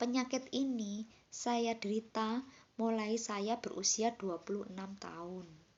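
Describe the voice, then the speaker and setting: Speaking fairly slowly, a woman holds a fairly high pitch with fairly even intonation. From Indonesia, Banyuwangi (East Java). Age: 40s. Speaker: vlogger sharing illness story. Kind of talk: personal testimony. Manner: casual, halting.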